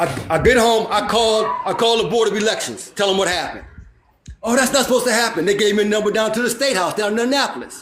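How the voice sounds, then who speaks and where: Loud and animated, a man talks at a very fast pace and a high pitch, with audible room echo. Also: ordinary pitch variation. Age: 60s. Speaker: panel guest. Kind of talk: casual chat.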